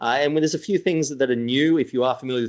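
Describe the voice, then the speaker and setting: A man with an Australian accent and a fairly high pitch, talking at a very fast pace over a quiet background. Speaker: cruise company sales director. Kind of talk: webinar sales presentation. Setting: online webinar. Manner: casual, hesitant with fillers.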